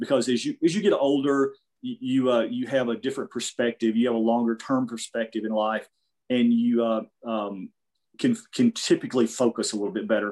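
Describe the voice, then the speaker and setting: A man's medium-pitched voice with an American accent, fairly even intonation and a fairly quick pace, in dry, close sound with no echo. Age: 50s. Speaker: jiu-jitsu practitioner. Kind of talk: casual interview. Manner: halting, many fillers.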